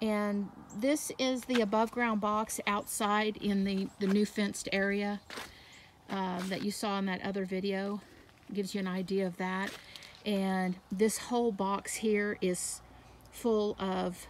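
The delivery comes at a fairly slow pace with monotone, flat intonation over light background noise. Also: woman, dry sound with no echo. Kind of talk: casual garden tour narration. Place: garden. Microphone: phone near.

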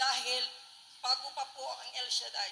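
A woman with a high voice talks while noticeable background noise carries on behind her. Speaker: church member giving testimony. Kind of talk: testimony. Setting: gathering with radio broadcast.

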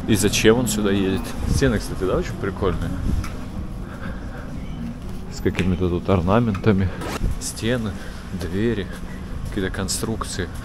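A man speaks at a low pitch with fairly even intonation and a moderate pace. Background noise is clearly audible.

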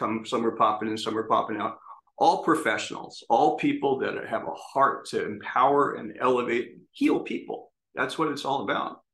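A man talks at a fairly quick pace against a quiet background. Some room echo can be heard. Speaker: presenter. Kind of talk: presentation talk. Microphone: webcam.

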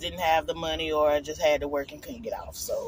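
A woman's voice comes through with a dry sound, no echo and light background noise. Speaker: vlogger on a road trip. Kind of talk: casual vlog chat. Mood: excited, chatty. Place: car. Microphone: phone near.

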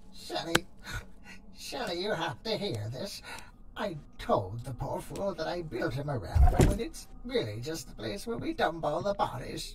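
The speaker uses a put-on character voice at a middle pitch. Loud background noise fills the clip. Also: moderate pace. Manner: gleeful, gossipy, mocking.

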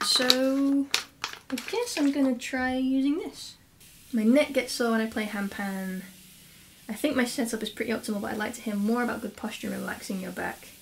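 A woman speaks at a high pitch with ordinary pitch variation. Light background noise can be heard. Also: moderate pace. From England, Lincolnshire. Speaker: handpan teacher and musician. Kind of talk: casual tutorial / Q&A vlog. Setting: home studio, solo to camera. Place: home room. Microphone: camera far.

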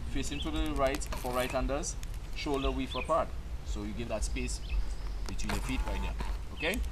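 A man talks fairly quickly while noticeable noise sounds in the background. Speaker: archery instructor. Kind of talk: tutorial. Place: open country.

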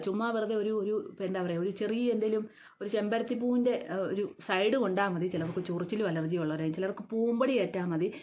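She has an ordinary speaking voice, medium pitch for a woman, and ordinary pitch variation. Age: 50s. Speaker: beautician and vlogger. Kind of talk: beauty tutorial vlog. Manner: casual conversational.

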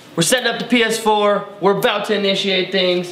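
A man with a high-pitched voice talks at a moderate pace, with audible room echo. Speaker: theater employee guide. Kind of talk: casual vlog chat. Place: hall.

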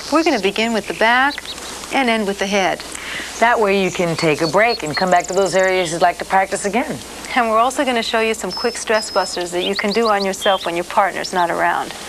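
Fairly quick female speech against clear background noise. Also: ordinary pitch variation. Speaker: massage instructor. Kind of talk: tutorial. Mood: warm, friendly, smiling.

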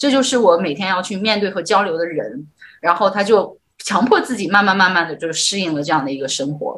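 Speaking at a fairly quick pace, a woman of medium pitch uses lively intonation and a bright, sharp tone. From northern China. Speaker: livestream host. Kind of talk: livestream interview. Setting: livestream. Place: home room. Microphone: video call.

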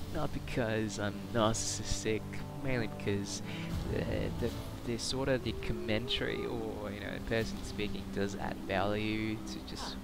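Music plays in the background as a man speaks, the sound dry with no echo. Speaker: gamer. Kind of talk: gameplay commentary.

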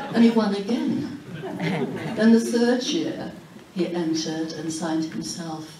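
A woman with a Yorkshire accent speaks at a fairly slow pace in a fairly low pitch. Audible room echo and noticeable background noise surround her voice. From Huddersfield, Yorkshire, England. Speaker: author. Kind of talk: keynote speech. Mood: warm, nostalgic. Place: hall. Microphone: camera far.

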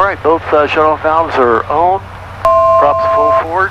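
Moderate pace, dry sound without echo, and loud noise in the background. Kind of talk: radio calls and checklist talk. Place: plane. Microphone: headset.

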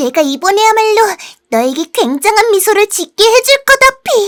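At a moderate pace, a put-on character voice sounds upbeat at an extremely high pitch. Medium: dub. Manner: upbeat, determined.

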